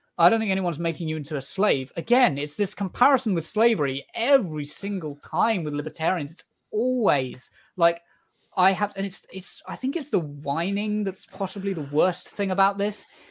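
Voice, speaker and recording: A high-pitched man with a British accent, moderate pace and big swings in loudness. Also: lively intonation. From Britain. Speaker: political TikTok streamer. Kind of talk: debate. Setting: video call. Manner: halting.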